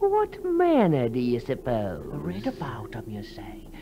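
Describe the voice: A man's put-on character voice, medium in pitch, fairly slow, with vocal fry and very wide pitch swings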